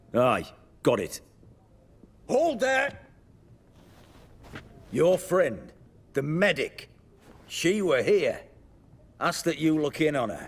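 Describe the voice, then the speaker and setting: A man puts on a gruff character voice, pitched high. He speaks at a very slow pace with long, frequent pauses. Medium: video game. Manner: gruff, rustic speech.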